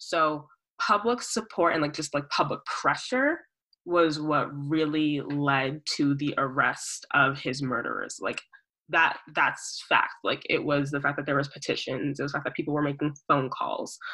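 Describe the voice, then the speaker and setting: A woman speaks fairly slowly, and the background stays quiet. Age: 20s. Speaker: student activist. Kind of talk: casual chat.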